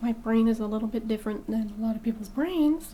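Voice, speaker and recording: A woman speaks at a fairly quick pace with a fairly high pitch and ordinary pitch variation, over noticeable background noise. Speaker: movie reaction youtuber. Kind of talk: casual chat. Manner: halting.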